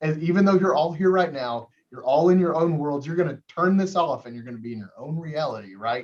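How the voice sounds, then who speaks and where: A man talks at a fairly quick pace, with hardly any pauses, at a fairly high pitch. His tone is animated, with lively intonation and big swings in loudness. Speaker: college math instructor. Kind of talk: lecture. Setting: video call. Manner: fast.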